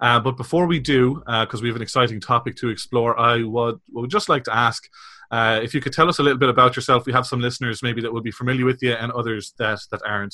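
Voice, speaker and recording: A man's very fast delivery at a medium pitch, with fairly even intonation. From Republic of Ireland. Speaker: podcast host. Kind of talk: interview.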